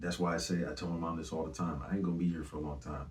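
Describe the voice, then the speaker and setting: The voice carries vocal fry. Its intonation stays fairly even. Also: man. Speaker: singer and rapper. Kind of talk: interview. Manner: casual.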